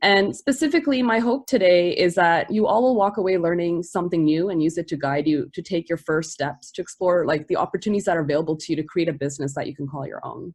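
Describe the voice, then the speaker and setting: The speech races along at a very fast pace with hardly any pauses. Its intonation is lively. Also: woman, fairly low pitch for a woman. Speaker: e-commerce marketing producer and entrepreneur. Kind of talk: webinar presentation.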